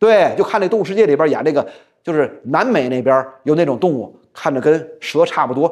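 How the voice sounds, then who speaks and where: The intonation is lively and the pace fairly quick. The background is quiet. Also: man. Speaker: storyteller. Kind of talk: traditional storytelling performance. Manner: casual, chatty. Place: studio. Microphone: lapel.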